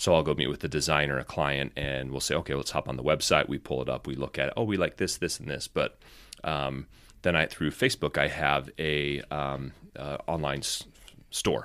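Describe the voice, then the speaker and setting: Recorded very cleanly against a silent background, a man with a very deep, low pitch and a bright, sharp tone speaks in fairly even intonation with vocal fry. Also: moderate pace. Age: 30s. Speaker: firefighter and photographer. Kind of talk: casual chat.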